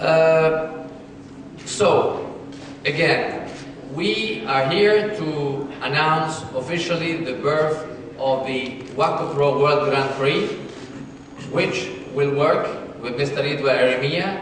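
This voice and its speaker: Speaking at a very slow pace with long, frequent pauses, a man with a fairly high pitch and ordinary pitch variation is heard over noticeable background noise and audible room echo. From Italy. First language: Italian. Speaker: sports federation official. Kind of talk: press conference. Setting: press conference. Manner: halting.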